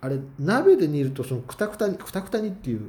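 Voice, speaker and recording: At a fairly quick pace, a man with a fairly high pitch and very wide pitch swings speaks in a dark, mellow tone that is somewhat breathy. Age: 30s. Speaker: solo podcaster. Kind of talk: casual monologue.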